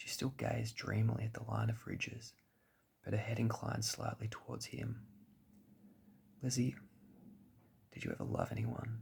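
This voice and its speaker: A soft-spoken voice with an Australian accent talks at a moderate pace over noticeable background noise. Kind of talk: sleep story.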